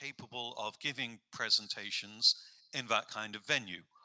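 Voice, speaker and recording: A man with an English accent speaks at a moderate pace. His tone is bright and sharp. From England. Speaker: professor. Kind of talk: informative presentation.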